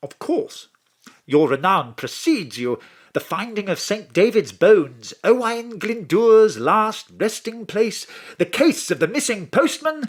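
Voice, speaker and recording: Here a man with an English accent speaks at a fairly slow pace. His pitch is high, with very wide swings. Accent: posh English, plummy. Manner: polite, formal.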